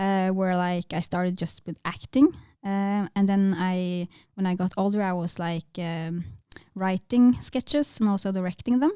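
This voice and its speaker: In a Norwegian accent, the voice has a dark, mellow tone, ordinary pitch variation and a moderate pace, with a dry, close sound with no echo on a very clean recording with a silent background. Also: woman, medium pitch for a woman. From northern Norway, Tromsø. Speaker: filmmaker. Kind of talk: interview. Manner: hesitant, many fillers.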